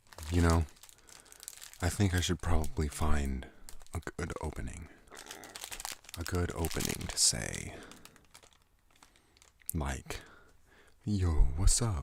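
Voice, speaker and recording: Soft-spoken and soothing in tone, a man with a very deep, low pitch talks at a fairly slow pace with ordinary pitch variation and long, frequent pauses. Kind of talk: ASMR rambling and storytelling. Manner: soothing, soft-spoken.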